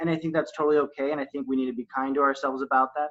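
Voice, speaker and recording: This man has a fairly high pitch. He speaks at a very fast pace. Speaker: wellness speaker on a panel. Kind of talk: panel discussion. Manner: fast talker.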